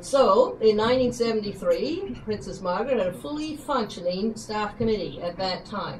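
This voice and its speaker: A woman speaks in a normal speaking voice with a fairly high pitch. She goes at a fairly slow pace over light background noise. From western Canada. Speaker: retiring teacher. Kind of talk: retirement speech. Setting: dinner event with audience. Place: hall. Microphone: camera far.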